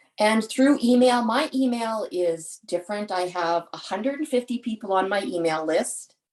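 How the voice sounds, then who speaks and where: A woman speaks in a plain, everyday voice at a fairly high pitch, moving at a moderate pace with lively intonation and hardly any pauses. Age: 60s. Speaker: charity fundraiser, parent of patient. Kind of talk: webinar panel talk.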